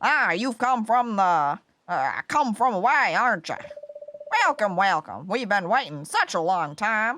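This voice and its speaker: Someone puts on a character voice with a fairly high pitch, delivered at a moderate pace. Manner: warm, friendly, drawling.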